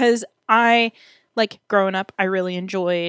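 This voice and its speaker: A woman with an unremarkable speaking voice, fairly even intonation and a moderate pace, on a very clean recording with a silent background. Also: dry, close sound with no echo. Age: 20s. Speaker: podcast co-host. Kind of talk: casual chat. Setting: home bedroom.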